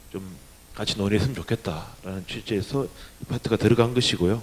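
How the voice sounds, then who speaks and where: A man's voice at a medium pitch. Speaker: union leader, panel presenter; presenter. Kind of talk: conference presentation. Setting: stage with audience. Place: hall. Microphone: handheld.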